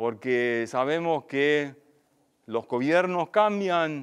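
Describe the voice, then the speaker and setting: This man has a fairly high pitch and ordinary pitch variation. He speaks at a very slow pace over a quiet background. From Germany. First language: German (speaking Spanish). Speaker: agricultural researcher; invited lecturer. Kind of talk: seminar lecture; lecture. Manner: halting. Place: hall.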